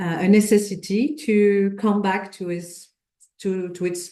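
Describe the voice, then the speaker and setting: Speaking very slowly in a French accent, a woman has a dark, mellow tone at a medium pitch. Her intonation stays fairly even. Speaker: sociohistorian. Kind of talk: lecture. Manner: halting.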